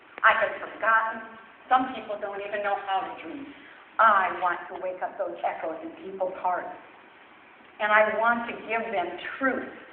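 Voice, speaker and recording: A woman talks at a moderate pace with long, frequent pauses and big swings in loudness, in a room with audible echo. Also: medium pitch for a woman, ordinary pitch variation. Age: 60s. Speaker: weight loss testimonial speaker. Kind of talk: testimony. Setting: church with audience.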